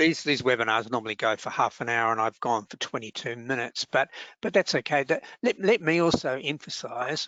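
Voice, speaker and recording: A man speaks at a medium pitch with an Australian accent. His pitch varies in an ordinary way. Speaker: workplace relations adviser. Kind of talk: webinar Q&A. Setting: online webinar. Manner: fast; halting, many fillers.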